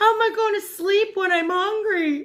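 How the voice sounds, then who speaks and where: Putting on a character voice, a woman speaks at an extremely high pitch. Her pace is moderate. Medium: read story. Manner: slow, grumbling.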